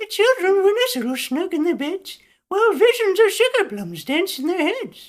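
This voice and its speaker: Using a squeaky, put-on character voice, a man speaks at an extremely high pitch and a moderate pace. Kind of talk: character impression. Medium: solo performance.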